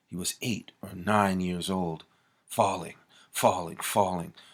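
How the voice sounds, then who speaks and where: At a fairly slow pace and with fairly even intonation, a normal speaking voice comes through a very clean recording with a silent background. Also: man. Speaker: author reading own book. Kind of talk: audiobook reading of a horror thriller.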